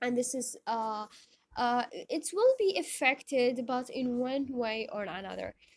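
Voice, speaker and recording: A woman with an Iraqi accent talks at a high pitch. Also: lively intonation, fairly slow pace. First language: Arabic. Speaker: teacher. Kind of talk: lecture. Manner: halting, many fillers.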